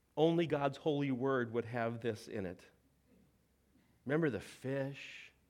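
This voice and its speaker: Over audible room echo, a man talks at a fairly slow pace with ordinary pitch variation and long, frequent pauses. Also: medium pitch for a man. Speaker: preacher. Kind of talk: sermon.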